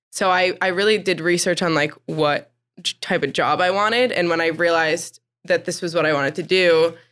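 A woman with a plain, everyday voice and an American accent talks at a fairly quick pace, her pitch fairly low and her intonation fairly even. Her loudness stays very even on a very clean recording with a silent background. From New Jersey. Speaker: intern and podcast interviewer. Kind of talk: casual interview chat.

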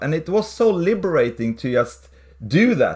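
With a Swedish accent, a man speaks using lively intonation. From Sweden. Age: 40s. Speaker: pastor and church planter. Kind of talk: interview.

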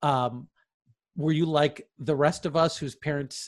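This man has an ordinary speaking voice, pitched fairly high, with fairly even intonation. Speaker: professor and podcast host. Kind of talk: moderated discussion. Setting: video call. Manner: formal.

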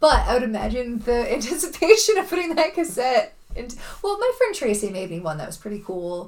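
A woman speaks at a high pitch with very wide pitch swings. Her loudness swings a lot as well. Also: fairly quick pace. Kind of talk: casual chat.

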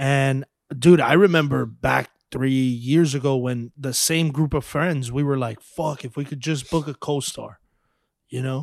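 At a fairly slow pace, a man speaks with a fairly high pitch and fairly even intonation. He has a normal speaking voice, and the recording is very clean with a silent background. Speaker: podcast host. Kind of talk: casual interview chat. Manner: casual, uses 'bro' often.

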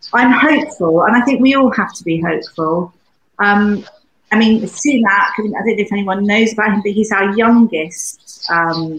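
A woman with a British accent has a somewhat breathy voice of medium pitch with ordinary pitch variation. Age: 80s+. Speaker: UK correspondent. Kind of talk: casual panel chat.

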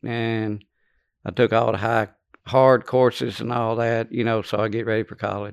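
A man's medium-pitched, monotone, flat delivery at a moderate pace with a Louisiana accent, over a quiet background. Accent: Louisiana Southern US. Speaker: former prisoner. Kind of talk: testimony. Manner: halting.

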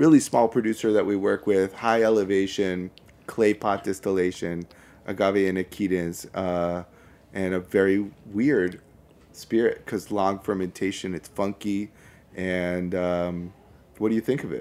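Against a silent background on a very clean recording, a man with an American accent speaks in a dark, mellow tone, his fairly low pitch held in a fairly even intonation. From Brooklyn, New York. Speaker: spirits importer. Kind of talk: casual chat.

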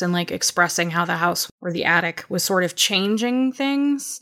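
A woman talks at a fairly quick pace at medium pitch. She has a normal speaking voice. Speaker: podcast co-host, editor. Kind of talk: casual chat. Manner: laughs often.

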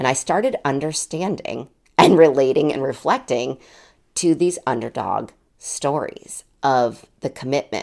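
A woman talks at a fairly slow pace with a very deep, low pitch. Her tone is animated. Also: ordinary pitch variation. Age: 40s. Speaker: podcast host. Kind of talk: solo monologue.

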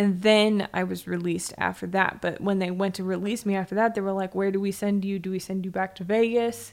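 A woman speaks with an American accent in an unremarkable speaking voice. Her pitch is medium with fairly even intonation, and the recording is very clean with a silent background. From San Diego, California. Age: 30s. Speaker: tattoo artist. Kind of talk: casual chat.

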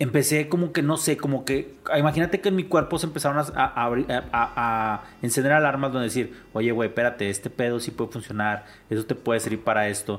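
At a fairly quick pace, a man with an ordinary speaking voice talks at a medium pitch with ordinary pitch variation. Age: 50s. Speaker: podcast host and entrepreneur. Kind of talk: casual interview conversation.

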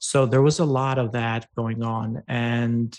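A man with an Albanian accent, medium pitch and monotone, flat intonation. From Albania, rural farm town. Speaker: ed tech founder and CEO. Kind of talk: interview. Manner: halting, many fillers.

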